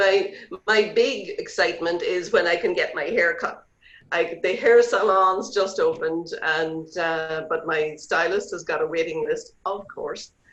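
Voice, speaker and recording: A woman with an Irish accent speaks at a fairly slow pace. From Ireland. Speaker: real estate agent. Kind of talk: interview.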